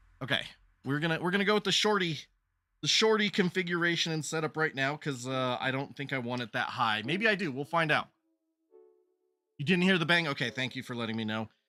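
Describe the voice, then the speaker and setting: A man with a fairly high voice talks at a very fast clip with lively intonation, leaving long, frequent pauses while music plays in the background. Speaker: streamer. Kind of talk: casual live stream chat. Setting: home basement. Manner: loud; animated.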